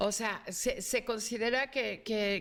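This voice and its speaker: A woman's fairly high voice is heard through noticeable background noise. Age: 60s. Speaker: academic guest. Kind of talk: panel discussion.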